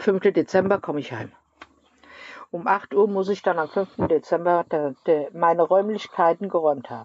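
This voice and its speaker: A woman with a fairly low pitch talks at a moderate pace. Her loudness swings widely, and she leaves long, frequent pauses. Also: ordinary pitch variation. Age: 50s. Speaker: podcast co-host. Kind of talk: casual chat. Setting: rehab clinic.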